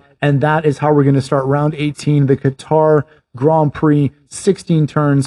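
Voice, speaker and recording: A man speaks at a fairly high pitch in a dark, mellow tone. His intonation is monotone and flat, in a dry, close sound with no echo. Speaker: podcast host. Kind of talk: race commentary, play-by-play retelling of a past race as a picture for listeners. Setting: Canada. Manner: vivid, scene-painting.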